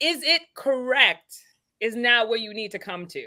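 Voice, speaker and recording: A woman's raised, projected voice, bright and sharp in tone, at a moderate pace. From Caribbean. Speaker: panelist. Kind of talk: casual chat.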